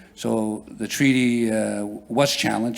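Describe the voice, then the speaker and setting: A medium-pitched male voice with audible room echo. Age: 60s. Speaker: First Nation councillor. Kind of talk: conference panel talk. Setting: conference hall with audience. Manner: halting, with many fillers and repeats.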